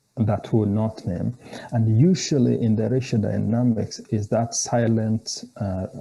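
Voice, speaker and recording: Against noticeable background noise, a man talks at a medium pitch. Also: ordinary pitch variation, fairly slow pace. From Kenya. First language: a Kenyan language. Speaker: theology scholar. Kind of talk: interview conversation. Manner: halting, with frequent repetitions.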